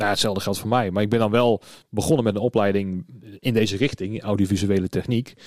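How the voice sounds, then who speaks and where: A man with a fairly low pitch talks very fast with fairly even intonation. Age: 30s. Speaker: podcast host, event technician. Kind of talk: casual interview chat. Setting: studio.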